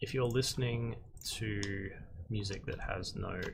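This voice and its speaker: The speaker is a man with an Australian accent. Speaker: concept artist and art instructor. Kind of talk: live-stream tutorial. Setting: live stream. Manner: monotone; casual with frequent fillers.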